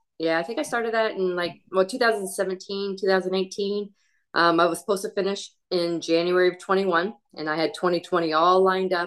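At a moderate pace, a woman talks in a normal speaking voice. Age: 50s. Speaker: amateur marathon runner. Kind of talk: casual chat.

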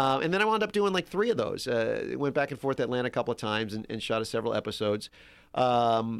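A man with an American accent speaks in a normal speaking voice at a fairly quick pace, his intonation lively, on a very clean recording with a silent background. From New Orleans, US South (Metairie). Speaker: actor. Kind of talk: casual chat.

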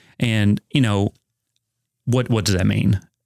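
Recorded very cleanly with a silent background and a dry, close sound with no echo, a man with an American accent speaks at a fairly low pitch and moderate pace with ordinary pitch variation. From Kentucky, Ohio County. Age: 30s. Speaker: nonprofit fundraising director, college alumnus. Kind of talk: interview conversation.

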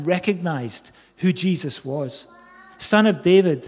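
Over noticeable background noise, a man talks fairly slowly in a high pitch. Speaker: pastor. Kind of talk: sermon. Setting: church with congregation present. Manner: rousing, exhortative, urging the congregation to cry out; repetitive, Amen-punctuated, halting with restarts.

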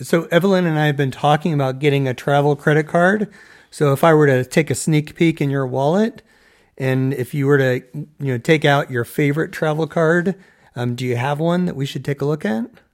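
The recording is very clean, with a silent background. An ordinary speaking voice goes at a fairly quick pace, showing ordinary pitch variation. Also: man, fairly high pitch for a man. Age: 50s. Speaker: podcast co-host. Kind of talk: interview.

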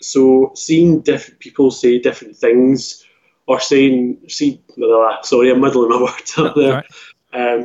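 In a Scottish accent, a man speaks at a fairly slow pace and medium pitch, his loudness very even and his intonation monotone and flat. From Scotland; Glasgow. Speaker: author. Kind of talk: casual interview chat. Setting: remote call.

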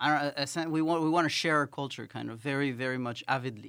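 On a very clean recording with a silent background, a man speaks at a very fast pace. His tone is bright and sharp, fairly high in pitch, with fairly even intonation. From France (Paris), also Ecuador. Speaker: PhD researcher. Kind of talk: casual chat.

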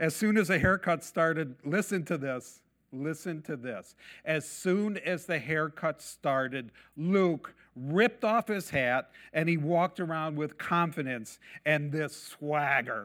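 At a fairly slow pace and with ordinary pitch variation, a normal speaking voice comes through on a very clean recording with a silent background. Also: man, fairly high pitch for a man. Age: 60s. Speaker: messianic congregation preacher. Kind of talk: sermon.

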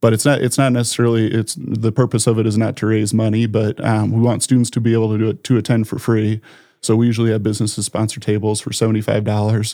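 With an Upper Midwest accent, a man speaks very fast at a medium pitch in a dark, mellow tone, monotone and flat in intonation, with hardly any pauses. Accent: Upper Midwest American. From South Dakota, Sioux Falls. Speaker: financial planner and community volunteer. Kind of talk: casual interview.

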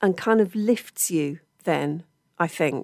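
A woman with a fairly low pitch speaks in a very clean recording with a silent background. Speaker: radio presenter. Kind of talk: radio interview. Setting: radio studio.

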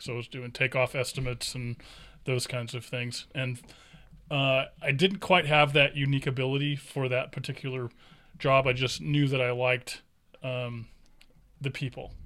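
In a very clean recording with a silent background, a man with an American accent speaks at a moderate pace in a medium-pitched, bright, sharp voice, his intonation fairly even and his pauses long and frequent. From California, raised from age eight. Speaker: insurance broker. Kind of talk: casual interview chat.

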